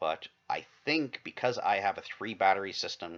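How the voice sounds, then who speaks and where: A man mumbles as he speaks. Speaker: vlogger. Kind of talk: casual vlog monologue. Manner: mumbling; halting, many false starts.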